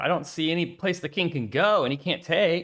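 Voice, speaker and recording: In an animated tone, a man with a high voice talks at a moderate pace. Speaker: chess streamer. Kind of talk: casual chat. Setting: live stream.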